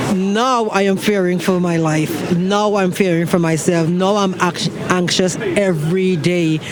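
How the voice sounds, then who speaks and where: Speaking fairly slowly with a non-native accent, a man with a high voice keeps his intonation fairly even and his loudness very even, over noticeable background noise and audible room echo. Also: hardly any pauses. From outside the US. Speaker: vigil attendee. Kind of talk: street interview. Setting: outdoors. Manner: halting.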